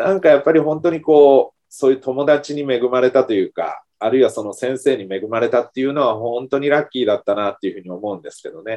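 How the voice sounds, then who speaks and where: A man with a medium-pitched, dark, mellow voice talks at a very fast pace with hardly any pauses and big swings in loudness. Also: ordinary pitch variation. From Kumamoto, Japan. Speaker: early childhood education professor. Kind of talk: interview.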